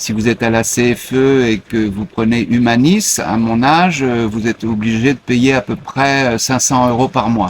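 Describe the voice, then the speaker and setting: A man at a medium pitch, fairly slow in pace with hardly any pauses and ordinary pitch variation. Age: 60s. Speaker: expatriate retiree. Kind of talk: interview. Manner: hesitant with many fillers.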